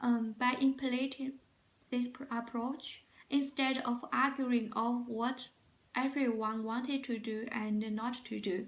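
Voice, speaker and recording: A woman with a Chinese accent talks at a fairly slow pace, her high pitch held in monotone, flat intonation. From China. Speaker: job interview candidate. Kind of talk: mock job interview. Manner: halting, many fillers.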